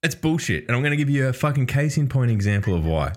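Male speech with an Australian accent, very clean recording, silent background. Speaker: podcast host. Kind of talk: casual banter podcast. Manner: crude, joking.

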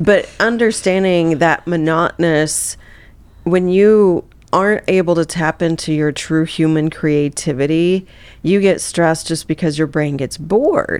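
A woman with an American accent, fairly low pitch, ordinary pitch variation, a fairly slow pace, and an unremarkable speaking voice. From US Midwest (Southeast Missouri). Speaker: neuroperformance coach and keynote speaker. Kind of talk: interview conversation.

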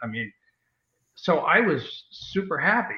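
A man speaks with an American accent. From New York. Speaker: novelist. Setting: online video show.

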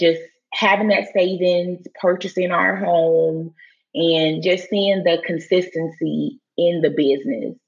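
A woman speaks in a plain, everyday voice at a fairly low pitch. Her pace is fairly slow and her loudness very even. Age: 30s. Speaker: wedding business founder and marriage coach. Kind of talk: interview.

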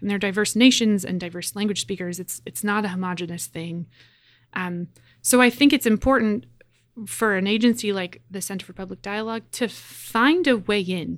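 A woman with a Canadian accent speaks in an unremarkable speaking voice at a moderate pace and medium pitch, with ordinary pitch variation and big swings in loudness, in a very clean recording with a silent background. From Canada, Edmonton, Alberta. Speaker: pastor. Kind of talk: interview conversation.

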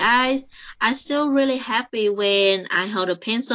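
A woman with a Vietnamese accent, at a fairly slow pace. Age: 20s. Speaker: colorist and illustrator. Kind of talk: interview. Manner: hesitant, many fillers.

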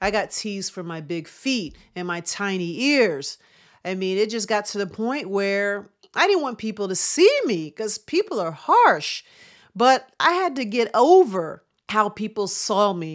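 An unremarkable speaking voice moves at a fairly slow pace with lively intonation and big swings in loudness, on a very clean recording with a silent background. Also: woman, medium pitch for a woman. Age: 50s. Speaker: chiropractor and wellness podcast host. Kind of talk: motivational monologue.

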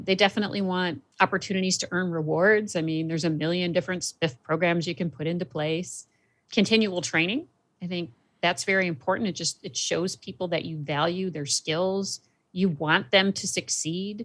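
A woman with an ordinary speaking voice talks at a moderate pace with ordinary pitch variation, on a very clean recording with a silent background. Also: fairly low pitch for a woman. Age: 50s. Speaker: marketing agency president. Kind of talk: casual chat.

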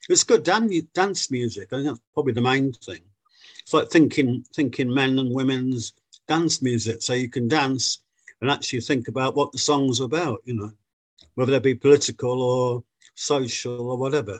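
A man uses a normal speaking voice at medium pitch and a moderate pace, with a dry, close sound with no echo. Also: ordinary pitch variation. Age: 60s. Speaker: guitarist, musician. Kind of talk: interview.

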